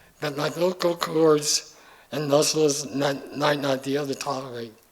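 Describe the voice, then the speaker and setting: A man with a fairly high pitch speaks at a fairly slow pace amid noticeable background noise. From US Midwest, Kansas City area. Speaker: hall of fame inductee. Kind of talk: acceptance speech. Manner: halting.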